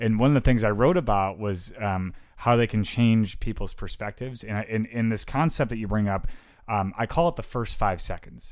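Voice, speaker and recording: In an American accent, a man speaks at a moderate pace in a medium pitch with ordinary pitch variation, on a very clean recording with a silent background. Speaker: podcast co-host and motivational speaker. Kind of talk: casual chat. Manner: animated.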